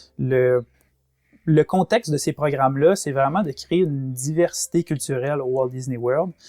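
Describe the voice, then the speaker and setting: In a Quebec accent, a man with a fairly high pitch and a dark, mellow tone speaks at a fairly slow pace with ordinary pitch variation, in a dry, close sound with no echo on a very clean recording with a silent background. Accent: Québécois French. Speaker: former theme park worker and travel agent. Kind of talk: podcast interview. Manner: hesitant, many fillers.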